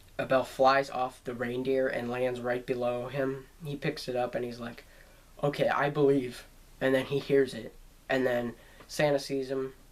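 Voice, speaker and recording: A man at a moderate pace and medium pitch, monotone and flat in intonation. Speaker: YouTube movie reviewer. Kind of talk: casual movie review. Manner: halting, many fillers.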